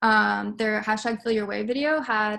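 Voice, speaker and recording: A woman's fairly high voice in a monotone, flat delivery. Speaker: student presenter. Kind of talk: class presentation. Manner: fast.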